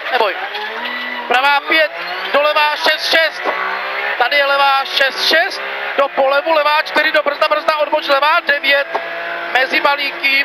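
Speech comes at a fairly slow pace with long, frequent pauses, in a dry sound with no echo and noticeable background noise. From Czech Republic. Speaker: rally co-driver. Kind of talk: rally pace notes read aloud to the driver. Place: car. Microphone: helmet.

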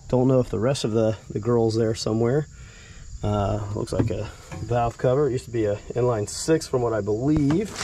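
The sound is dry with no echo, and there is noticeable background noise. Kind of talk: casual vlog chat. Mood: mildly enthusiastic. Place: garden. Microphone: phone near.

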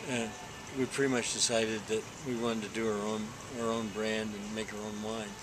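Noticeable background noise sits behind a man with an American accent. His fairly low voice is monotone and flat, with long, frequent pauses. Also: fairly quick pace. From Texas. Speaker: winemaker; interviewee. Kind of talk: interview. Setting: hotel venue before a dinner. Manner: hesitant, with fillers and repetitions. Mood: relaxed, warm storytelling.

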